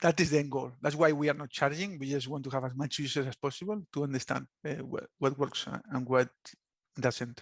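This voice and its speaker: The voice has a Spanish accent, and the sound is dry and close with no echo. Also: man. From Spain. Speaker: app founder, former subsea engineer. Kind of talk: podcast interview answer.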